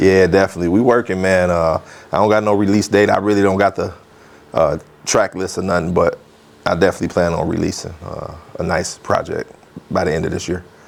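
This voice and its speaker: Over noticeable background noise, a man with an American accent talks at a very fast pace. His very deep, low voice keeps a fairly even intonation. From Beloit, Wisconsin. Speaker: hip hop artist. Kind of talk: interview answer. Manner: casual, slangy.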